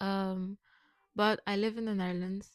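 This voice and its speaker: The speaker has a Curaçao accent and talks at a moderate pace with monotone, flat intonation. The sound is dry and close, with no echo. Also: woman, very clean recording, silent background. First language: Papiamento. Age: 20s. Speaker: vlogger. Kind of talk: personal vlog monologue.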